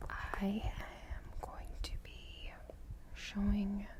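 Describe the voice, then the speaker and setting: Noticeable background noise sits behind a soft-spoken woman. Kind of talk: ASMR rambling talk to camera.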